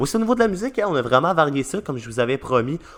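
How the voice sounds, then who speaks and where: A man speaks with a Quebec accent and ordinary pitch variation. The background is quiet. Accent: Québécois French. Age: young. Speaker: podcast host. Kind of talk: podcast outro monologue. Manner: hesitant, many fillers.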